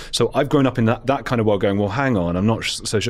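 Speaking at a very fast pace in a London accent, a man uses ordinary pitch variation. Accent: southern English (London). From England (London). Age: 30s. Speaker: podcast host. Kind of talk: interview debate. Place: studio. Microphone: studio mic.

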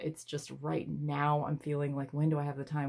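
Against a quiet background, a woman with a very deep, low pitch talks at a moderate pace. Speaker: tarot reader. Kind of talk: casual tarot reading chat. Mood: reflective, a bit unsure.

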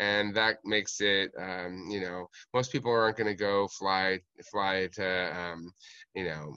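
A man's fairly low voice, bright and sharp in tone, with ordinary pitch variation, dry sound free of echo, and a quiet background. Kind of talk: classroom presentation. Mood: friendly, enthusiastic. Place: garden. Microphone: video call.

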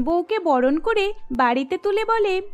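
A woman speaks with lively intonation. Her tone is slightly mellow.

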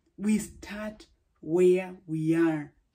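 Against a quiet background, a woman's somewhat breathy voice has a dark, mellow tone and lively intonation. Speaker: preacher. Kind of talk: sermon. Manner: formal. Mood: warm, encouraging. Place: home room. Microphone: phone near.

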